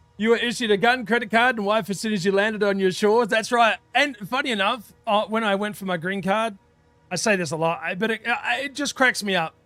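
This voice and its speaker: The voice is raised and projected, with a bright, sharp tone. It moves at a fairly quick pace with ordinary pitch variation. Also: man, high pitch for a man. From Australia. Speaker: video game streamer. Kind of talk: casual live-stream chat. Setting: live stream with voice chat on Discord. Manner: animated.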